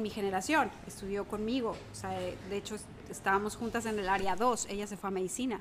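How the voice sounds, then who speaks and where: Her speech moves at a moderate speed, and this woman's pitch varies in an ordinary way. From Mexico City. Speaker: environmental educator and former teacher. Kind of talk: interview, casual chat.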